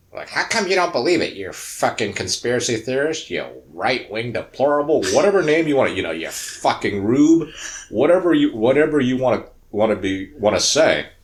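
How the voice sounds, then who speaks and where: A man talks at a fairly quick pace and a fairly high pitch, his pitch swinging very widely. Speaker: podcast co-host. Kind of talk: casual chat. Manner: halting.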